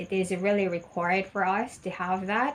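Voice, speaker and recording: A woman with a Filipino accent talks at a medium pitch with fairly even intonation. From Philippines. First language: Tagalog. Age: 40s. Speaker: ESL teacher. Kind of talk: mock job interview answers. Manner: halting.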